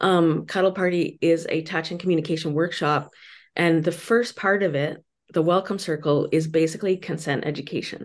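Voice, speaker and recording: Speaking in a normal speaking voice, a woman uses a fairly low pitch and fairly even intonation at a moderate pace over a quiet background. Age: 50s. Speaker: author and consent educator. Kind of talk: interview.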